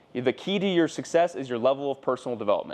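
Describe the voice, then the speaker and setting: An energetic man with an American accent talks at a fairly quick pace and a medium pitch. His pitch varies in an ordinary way, and there is noticeable background noise. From US West Coast, southern California. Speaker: entrepreneur. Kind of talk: personal story monologue. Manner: casual, energetic.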